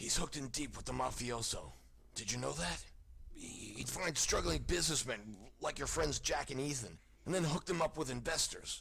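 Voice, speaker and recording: Doing a put-on character voice, a man speaks in a raspy medium pitch at a moderate pace, with light background noise behind him. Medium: video game. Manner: curt, tough, sneering.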